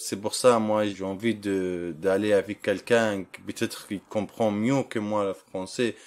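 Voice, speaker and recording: The pace is very slow, with hardly any pauses. The recording is very clean, with a silent background. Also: man, fairly low pitch for a man, fairly even intonation. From Libya. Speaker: refugee job seeker. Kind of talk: interview. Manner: halting.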